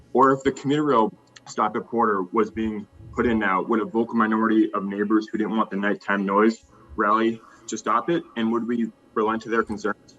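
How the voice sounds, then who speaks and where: Talking at a fairly quick pace, a man with an American accent and medium pitch uses fairly even intonation over noticeable background noise. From Cambridge, Massachusetts, US. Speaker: public commenter at zoning hearing. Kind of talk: public comment. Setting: remote video meeting.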